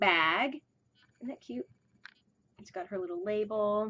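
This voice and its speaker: A woman mumbles her words. Her intonation is lively. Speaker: fiber arts podcaster. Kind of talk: casual chat. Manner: mumbling; halting.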